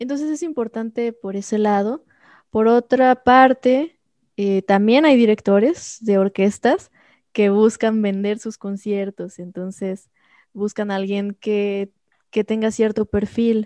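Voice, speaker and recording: A woman with a dark, mellow tone and fairly high pitch talks at a very slow pace with ordinary pitch variation, the sound dry and close with no echo over a quiet background. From Mexico, Xalapa (Veracruz). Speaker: concert pianist and music professor. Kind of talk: interview.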